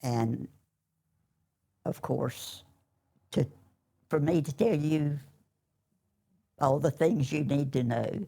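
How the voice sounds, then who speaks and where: A woman with an eastern North Carolina accent speaks at a very slow pace with long, frequent pauses, her very deep, low pitch carrying a dark, mellow tone. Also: ordinary pitch variation. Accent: Southern US, eastern North Carolina. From US South, eastern North Carolina. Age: 80s+. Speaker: churchgoer giving testimony. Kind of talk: testimony.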